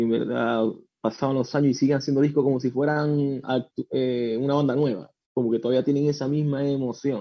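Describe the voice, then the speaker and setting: Here is a plain, everyday voice: a man at a medium pitch, talking at a fairly quick pace with ordinary pitch variation. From Venezuela. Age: 30s. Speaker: rock musician. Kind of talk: radio interview.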